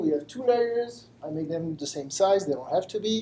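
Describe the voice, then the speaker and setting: With a French accent, this voice moves at a fairly quick pace, its intonation lively and its tone dark and mellow. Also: man. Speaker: machine learning engineer. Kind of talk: lecture. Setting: live stream talk with audience. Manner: halting.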